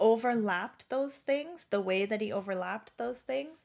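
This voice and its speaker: In a normal speaking voice, a woman talks at a fairly high pitch with ordinary pitch variation on a very clean recording with a silent background. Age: 40s. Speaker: recovering alcoholic. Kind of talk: testimony.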